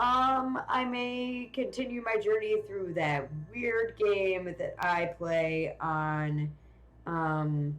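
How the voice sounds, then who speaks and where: The pace is very slow. Intonation is lively throughout. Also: woman, medium pitch for a woman. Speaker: video game streamer. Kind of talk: live game stream commentary. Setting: live stream. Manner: loud.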